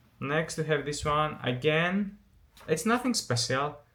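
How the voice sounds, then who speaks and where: Moderate pace and ordinary pitch variation in a man's speech. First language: not English. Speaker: photography YouTuber. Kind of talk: casual vlog commentary. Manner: halting, many fillers and restarts.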